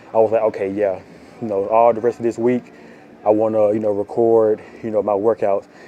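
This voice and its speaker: A man speaks in a monotone, flat intonation at medium pitch. Noticeable background noise sits behind him. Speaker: fitness vlogger. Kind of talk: gym vlog talk. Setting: gym. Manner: loud; casual.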